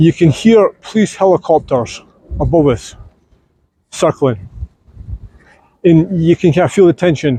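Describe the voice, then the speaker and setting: A man with a slight Scottish accent speaks at a fairly slow pace with long, frequent pauses and very even loudness. His high-pitched voice has a dark, mellow tone and lively intonation. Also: dry, close sound with no echo. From Scotland. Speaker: vlogger. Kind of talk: casual vlog narration. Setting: outdoors.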